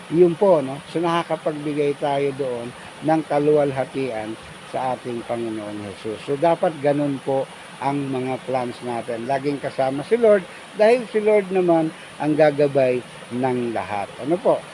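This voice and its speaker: The speaker has a Filipino accent and a fairly slow pace. Noticeable background noise runs underneath. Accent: Filipino (Tagalog) accent, Taglish. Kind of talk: devotional talk. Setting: outdoors at a waterfall.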